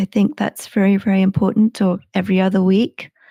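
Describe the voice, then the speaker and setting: A woman talks at a moderate pace in a somewhat breathy voice with a dark, mellow tone and fairly even intonation. The sound is dry and close with no echo, on a very clean recording with a silent background. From England, Suffolk. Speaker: sleep podcast creator. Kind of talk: interview. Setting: live stream. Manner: well paced.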